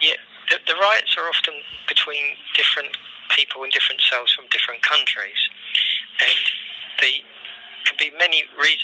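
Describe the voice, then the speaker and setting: With a London accent, a man speaks at a moderate pace, leaving long, frequent pauses. Light background noise can be heard. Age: 60s. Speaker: prisoner. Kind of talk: phone call testimony. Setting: phone line. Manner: hesitant.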